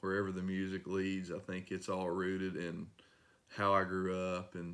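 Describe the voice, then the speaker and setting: Someone with an East Tennessee accent speaks at a moderate pace in a monotone, flat intonation. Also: man, very deep, low pitch for a man. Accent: local east Tennessee. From US South, east Tennessee. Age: 30s. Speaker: singer-songwriter and mechanic. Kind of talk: interview. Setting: at his workplace.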